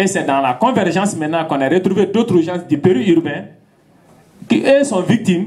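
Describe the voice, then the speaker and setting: The voice belongs to a man and is pitched high. Lively intonation carries it. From Mali. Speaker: farmer and activist. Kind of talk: public talk.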